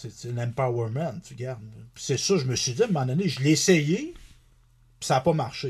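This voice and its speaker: A man with a Quebec accent talks at a moderate pace, with long, frequent pauses and big swings in loudness. His voice is fairly high and somewhat breathy, with ordinary pitch variation, over a quiet background. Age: 40s. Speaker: country singer and author. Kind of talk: casual interview chat.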